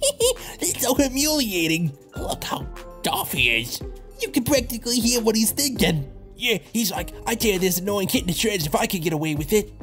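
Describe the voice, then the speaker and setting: Clear music plays in the background as a put-on character voice at a fairly high pitch speaks at a moderate pace. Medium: dub.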